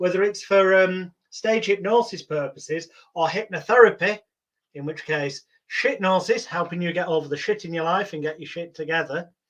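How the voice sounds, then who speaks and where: A man with a high pitch, ordinary pitch variation, big swings in loudness and a moderate pace. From England, itinerant circus childhood. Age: 40s. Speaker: stage hypnotist and hypnotherapist. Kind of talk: interview.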